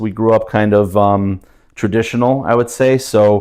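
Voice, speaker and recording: A man with a Russian accent at a medium pitch, fairly slow pace and monotone, flat intonation, on a very clean recording with a silent background. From New Jersey, US (Jersey City). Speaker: maintenance director and rescue volunteer. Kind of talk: casual interview conversation.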